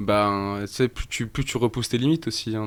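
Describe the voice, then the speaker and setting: Recorded very cleanly against a silent background, a man talks at a fairly low pitch with ordinary pitch variation. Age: 20s. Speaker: rapper. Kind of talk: casual chat. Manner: halting.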